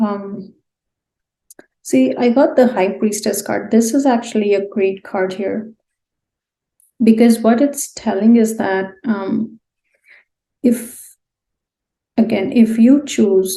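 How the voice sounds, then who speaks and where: Somewhat breathy, a woman with a fairly high pitch and a dark, mellow tone speaks at a very slow pace with long, frequent pauses and ordinary pitch variation. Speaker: tarot card reader. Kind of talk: pick-a-card tarot reading. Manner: subdued, low-energy; hesitant with fillers.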